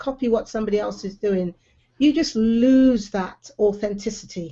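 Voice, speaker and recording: A woman speaks in a West Country accent. Her pitch is fairly high. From England, Bristol. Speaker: live video show host. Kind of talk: casual online chat. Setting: live online video hangout.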